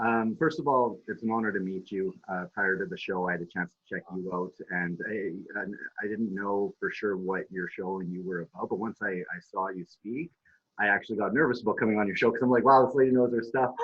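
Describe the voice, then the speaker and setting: An unremarkable speaking voice, a man with a Canadian accent, fairly low pitch, ordinary pitch variation and fairly quick pace. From Saskatchewan, Canada. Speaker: activist. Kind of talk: interview.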